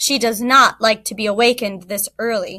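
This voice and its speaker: In a put-on character voice, a woman speaks at a fairly high pitch and a moderate pace. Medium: read story. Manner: slow.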